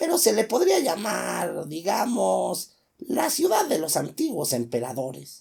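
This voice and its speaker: A man puts on a character voice and talks at a fairly slow pace. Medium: read story. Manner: mocking, ironic.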